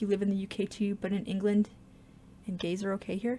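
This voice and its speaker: A woman with a Canadian accent speaks fairly quickly at a medium pitch, her tone dark and mellow, somewhat breathy, with fairly even intonation. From Canada. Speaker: gaming YouTuber. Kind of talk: live stream Q&A chat. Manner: fumbles and slurs words; casual, halting.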